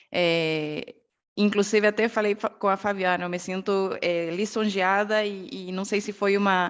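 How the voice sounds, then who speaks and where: A woman's medium-pitched voice in a Bolivian accent, monotone and flat. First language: Spanish (speaking Portuguese). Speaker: ergonomist and quality management professor. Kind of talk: online talk presentation. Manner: halting, many fillers.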